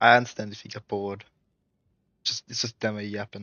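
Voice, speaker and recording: A man's fairly low voice in a monotone, flat intonation at a moderate pace. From Australia. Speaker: gaming streamer. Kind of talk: casual live stream chat.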